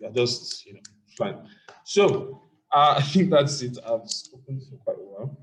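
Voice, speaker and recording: A man is speaking. His voice is somewhat breathy. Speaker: programming teacher. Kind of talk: online class Q&A. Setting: video call. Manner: fast.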